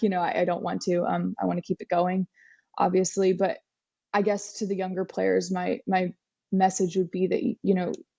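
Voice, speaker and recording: This woman uses a medium pitch. Her pace is fairly quick. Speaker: college soccer player. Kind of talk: podcast interview.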